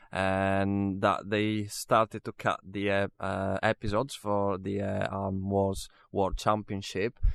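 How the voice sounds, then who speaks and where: A man with an Italian accent speaks at a fairly low pitch. The sound is dry and close with no echo, on a very clean recording with a silent background. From Italy, Venice. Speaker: musician and studio manager. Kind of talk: interview. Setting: recording studio. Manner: halting, many fillers.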